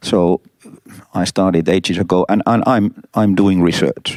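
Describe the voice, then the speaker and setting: A dark, mellow tone comes through at a fairly slow pace with fairly even intonation. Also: man, dry, close sound with no echo. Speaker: transport consultant. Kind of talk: interview. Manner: halting.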